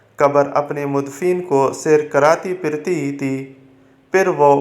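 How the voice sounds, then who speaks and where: A man in a plain, everyday voice talks with a fairly high pitch and ordinary pitch variation. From Pakistan. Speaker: voice-over artist. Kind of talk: religious story narration.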